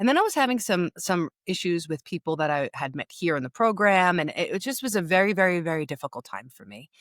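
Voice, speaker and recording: A woman with a New York accent rushes at a very fast pace with hardly any pauses, her fairly low voice showing big swings in loudness on a very clean recording with a silent background. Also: lively intonation, dry, close sound with no echo. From New York, Long Beach. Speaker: grief and empowerment coach. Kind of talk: interview storytelling. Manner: casual, halting with restarts.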